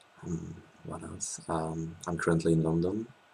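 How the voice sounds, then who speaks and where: A man with a French accent. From France. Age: 20s. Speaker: law student. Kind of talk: interview. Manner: hesitant, many fillers.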